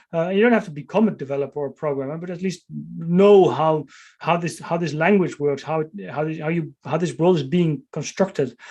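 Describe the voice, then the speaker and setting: A man with a Dutch accent speaks at a fairly quick pace in a fairly high pitch, his dark, mellow tone carrying ordinary pitch variation. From Netherlands. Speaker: author and tech strategist. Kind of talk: interview. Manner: halting, many fillers and repeats.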